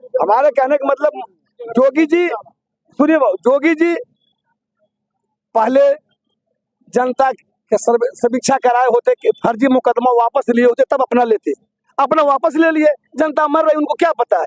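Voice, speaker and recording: Extremely high-pitched for a man, this voice keeps a very even loudness. He leaves long, frequent pauses, and the sound is dry and close with no echo. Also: ordinary pitch variation. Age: 70s. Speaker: local party supporter interviewed on street. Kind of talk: street interview, political opinion. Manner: animated.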